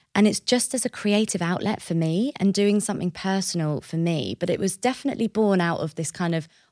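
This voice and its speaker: A woman with a southern English accent, in a very clean recording with a silent background and a dry, close sound with no echo. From southern England, Hertfordshire/Essex border. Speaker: events director. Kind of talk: interview.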